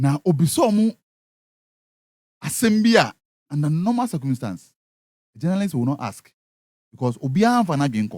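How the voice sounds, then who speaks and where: A man's somewhat breathy, fairly high voice at a moderate pace, with very wide pitch swings, long, frequent pauses and a dry, close sound with no echo. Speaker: radio entertainment show host. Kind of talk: radio show commentary.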